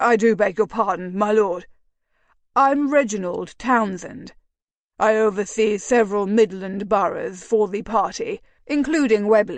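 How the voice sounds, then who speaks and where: Performed in a put-on character voice, the delivery has ordinary pitch variation and a moderate pace against a quiet background. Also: woman, fairly high pitch for a woman. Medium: read story. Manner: deferential, ingratiating.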